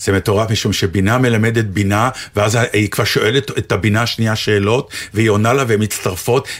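Speech moves along at a moderate pace. A somewhat breathy quality runs through it. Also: man. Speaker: actor and radio co-host. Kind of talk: casual chat.

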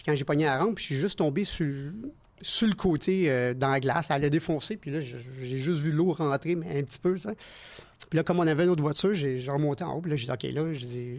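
Speech comes at a fairly quick pace. Pitch varies in an ordinary way. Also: man, fairly high pitch for a man. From Quebec. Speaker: stunt performer. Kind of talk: casual chat. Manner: animated.

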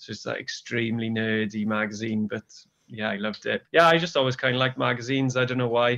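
Talking at a very fast pace, a man with a Welsh accent uses a medium pitch, fairly even intonation, and a bright, sharp tone. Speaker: magazine co-editor. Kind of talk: interview.

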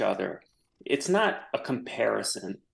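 A man with an American accent speaks with vocal fry. The background is quiet. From US South, New Orleans. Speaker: photographer. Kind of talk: radio interview. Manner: halting.

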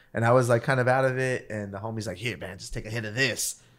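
The recording is very clean with a silent background. A man speaks at a medium pitch with ordinary pitch variation. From US West Coast, East Los Angeles. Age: 30s. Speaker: rapper. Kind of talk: casual chat.

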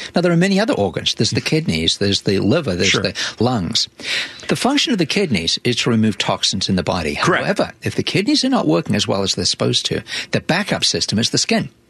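Over noticeable background noise, a man talks very fast at a medium pitch with very wide pitch swings and very even loudness, the sound dry and close with no echo. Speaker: chiropractor, health show expert. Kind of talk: explanatory interview talk.

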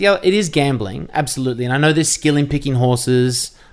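The speech moves at a very fast pace. It carries an Australian accent. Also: man. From Victoria, Australia (near Geelong). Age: 30s. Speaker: radio and TV host. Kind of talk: casual chat.

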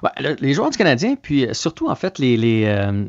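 A man with an unremarkable speaking voice talks at a fairly slow pace in a dry, close recording with no echo. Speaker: sports reporter. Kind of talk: casual radio chat.

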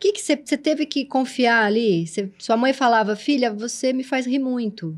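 High-pitched speech from a woman, fairly slow and with lively intonation. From São Paulo, Brazil. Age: 40s. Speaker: videocast host. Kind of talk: casual interview chat.

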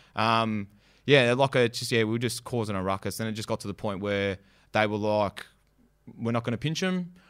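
With an Australian accent, a man speaks using ordinary pitch variation. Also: medium pitch for a man, moderate pace. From western Melbourne, Australia. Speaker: graffiti artist and rapper. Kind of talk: casual interview chat.

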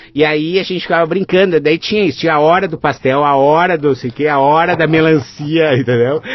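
With a southern Brazilian accent, a man talks at a fairly high pitch and a fairly quick pace, using fairly even intonation and hardly any pauses over noticeable background noise. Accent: gaúcho Brazilian Portuguese. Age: 40s. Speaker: innovation professor and facilitator. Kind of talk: casual chat.

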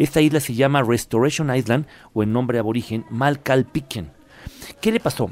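The man has a plain, everyday voice at medium pitch with ordinary pitch variation. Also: moderate pace. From Puebla, Mexico. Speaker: travel commentator. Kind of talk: radio segment chat.

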